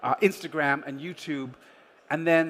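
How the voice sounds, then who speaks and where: Here is a man with an unremarkable speaking voice and fairly high pitch. He talks at a moderate pace. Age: 50s. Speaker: travel company founder. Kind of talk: conference talk. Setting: stage with audience.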